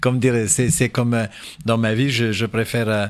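A man talks at a moderate pace. The audio is very clean, and the background is silent. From Portugal and Angola. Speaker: cabaret performer. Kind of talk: radio interview. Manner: halting.

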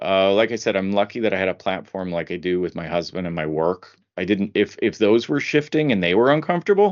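A plain, everyday voice from a man, fairly low in pitch, with lively intonation and a fairly quick pace. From US Midwest (Indiana). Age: 50s. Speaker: legal marketing director. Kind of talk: interview.

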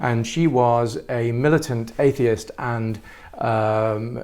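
The speaker has an English accent and fairly even intonation. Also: man. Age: 50s. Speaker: artist. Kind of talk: interview.

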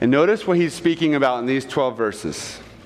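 With lively intonation and a fairly high pitch, a man talks against noticeable background noise. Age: 30s. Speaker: pastor. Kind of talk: sermon.

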